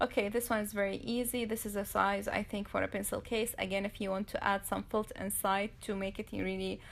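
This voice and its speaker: With a non-native accent, a woman talks at a fairly quick pace with hardly any pauses. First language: not English. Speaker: DIY crafts youtuber. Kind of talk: tutorial. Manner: halting.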